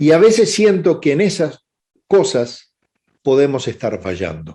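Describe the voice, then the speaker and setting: A man speaks fairly slowly, his fairly high pitch swinging very widely. His tone is dark and mellow, with vocal fry. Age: 60s. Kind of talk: webinar lecture. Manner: hesitant fillers (eh).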